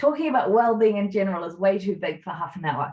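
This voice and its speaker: Medium-pitched, somewhat breathy speech from a woman. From New Zealand. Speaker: workplace wellbeing consultant. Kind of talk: webinar presentation. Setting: online webinar.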